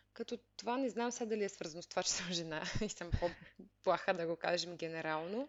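Talking at a fairly quick pace, a woman uses a fairly low pitch with ordinary pitch variation. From Bulgaria, Veliko Tarnovo. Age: 30s. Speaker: software engineer. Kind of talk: interview. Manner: halting.

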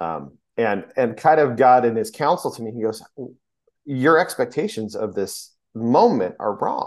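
This man has an ordinary speaking voice, medium in pitch, with lively intonation and big swings in loudness. He talks at a fairly slow pace. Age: 40s. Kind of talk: casual faith conversation.

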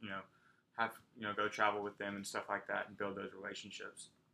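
This man talks with an American accent at a very fast pace. His pitch is fairly low and his tone bright and sharp. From Texas. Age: 20s. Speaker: former college athlete and soccer coach. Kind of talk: casual chat.

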